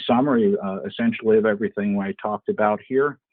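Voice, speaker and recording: A man's plain, everyday voice, medium in pitch, at a moderate pace with ordinary pitch variation. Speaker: webinar presenter on parts sales. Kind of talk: webinar presentation. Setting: online webinar.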